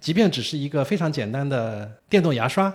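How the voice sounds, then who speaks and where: A man with a fairly high pitch speaks in a somewhat breathy voice with lively intonation. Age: 50s. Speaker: tennis journalist. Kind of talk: casual interview.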